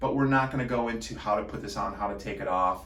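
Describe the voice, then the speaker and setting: In a room with audible echo, a man speaks at a fairly quick pace. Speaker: product demonstrator for a massage device company. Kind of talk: product tutorial. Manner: casual, with frequent fillers.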